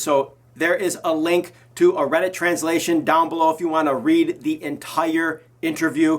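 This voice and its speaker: Here a man with an ordinary speaking voice and a fairly high pitch talks at a moderate pace with ordinary pitch variation. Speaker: YouTuber covering Korean pop culture. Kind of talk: casual vlog commentary.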